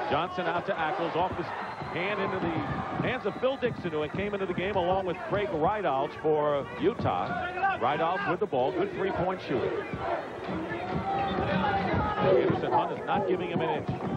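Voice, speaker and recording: A man talks at a moderate pace with ordinary pitch variation and long, frequent pauses. The sound is dry with no echo, over loud background noise. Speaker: play-by-play announcer. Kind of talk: commentary.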